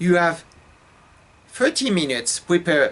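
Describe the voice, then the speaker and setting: A man with a slight French accent, fairly high in pitch, at a very slow pace. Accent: light French. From France. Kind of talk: casual storytelling to camera.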